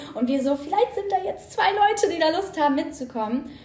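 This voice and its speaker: A woman talks at a very fast pace. Room echo is audible, and there is noticeable background noise. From northern Germany, Hannover region. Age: 20s. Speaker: co-founder of a second-hand guide account. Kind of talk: casual chat.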